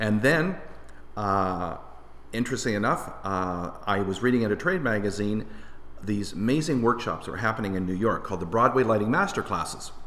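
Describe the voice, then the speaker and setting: A man in a Canadian accent has a plain, everyday voice with fairly low pitch. He talks at a fairly quick pace with ordinary pitch variation. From Windsor, Ontario, Canada. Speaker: lighting designer. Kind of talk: casual interview chat.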